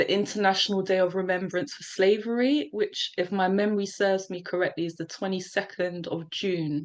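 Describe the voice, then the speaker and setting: The speaker has a London accent and fairly even intonation. The background is quiet. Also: woman. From South London, England. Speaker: poet. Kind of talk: casual interview chat.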